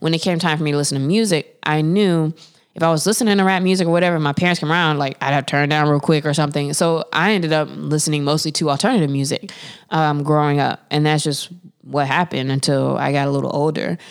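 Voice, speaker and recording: Very fast and very even in loudness, a woman speaks in a very deep, low pitch with fairly even intonation. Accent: American. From North Carolina (Winston-Salem). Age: 30s. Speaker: podcast co-host. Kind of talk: casual chat.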